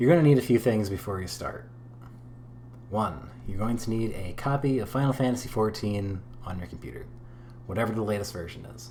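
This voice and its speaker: A man speaks at a fairly low pitch and a fairly quick pace, with ordinary pitch variation and long, frequent pauses. His loudness swings widely, and the room echo is audible. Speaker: gaming tutorial creator. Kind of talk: tutorial. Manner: casual, unscripted.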